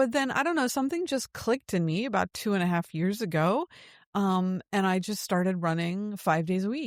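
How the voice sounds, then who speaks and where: A plain, everyday voice, this woman speaks at a fairly quick pace with an American accent, medium pitch, lively intonation and very even loudness, captured as a dry, close sound with no echo on a very clean recording with a silent background. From United States. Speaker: podcast host. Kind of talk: casual chat.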